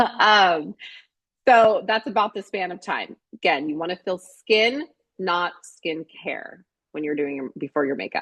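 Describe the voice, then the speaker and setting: In a normal speaking voice at medium pitch, a woman talks fairly slowly with lively intonation, the sound dry and close with no echo. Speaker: makeup artist and beauty business owner. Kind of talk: online workshop presentation. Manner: casual with fillers.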